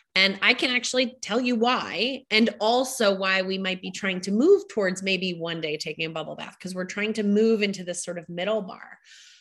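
This is a normal speaking voice at a fairly quick pace with hardly any pauses. Its loudness swings widely while the pitch variation stays ordinary. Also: woman, medium pitch for a woman. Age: 40s. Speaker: podcast host, grief professional. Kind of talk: casual interview conversation.

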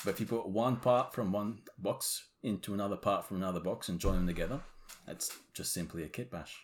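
In a plain, everyday voice, a man talks at a fairly quick pace with fairly low pitch and ordinary pitch variation. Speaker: guest, hobby model maker. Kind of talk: casual banter, hobby chat.

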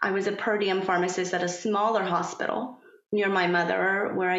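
Speaking at a moderate pace with a Persian accent, a woman keeps a medium pitch and fairly even intonation. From Iran. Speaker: pharmacist turned yoga instructor and parent coach. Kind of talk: casual interview conversation. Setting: California.

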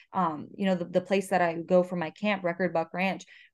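A woman's normal speaking voice, fairly low in pitch, with fairly even intonation at a moderate pace over a quiet background. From Florida. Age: 20s. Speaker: pre-veterinary student and shotgun instructor. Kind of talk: interview.

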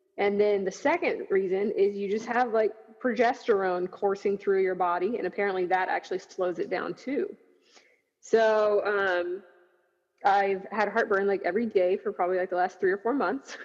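Her intonation fairly even, a woman talks in an ordinary speaking voice. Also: medium pitch for a woman, moderate pace. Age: 30s. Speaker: marathon runner. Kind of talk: casual chat. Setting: video call.

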